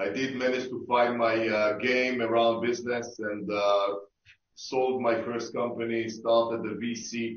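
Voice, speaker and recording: With an Israeli accent and audible room echo, a man of medium pitch speaks at a fairly slow pace in a monotone, flat intonation. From Israel, Tel Aviv. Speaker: sports tech investor. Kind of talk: panel discussion. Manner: halting, many fillers.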